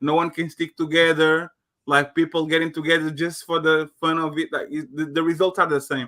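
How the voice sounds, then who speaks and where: Talking fairly quickly with a non-native accent, a man keeps a fairly high pitch and monotone, flat intonation. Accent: non-native accent, noticeable. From Portugal. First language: Portuguese. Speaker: panel guest. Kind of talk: panel discussion.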